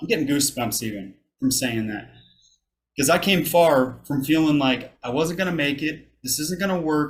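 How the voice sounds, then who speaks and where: Lively intonation carries this somewhat breathy voice. The pace is moderate. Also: man. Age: 30s. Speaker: army veteran, college student. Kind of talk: public talk to an audience.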